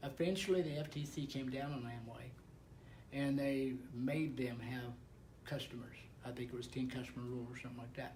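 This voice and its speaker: Audible room echo surrounds a man speaking in a medium pitch with fairly even intonation. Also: fairly quick pace. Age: 70s. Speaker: network marketing distributor. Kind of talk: casual chat. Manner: halting.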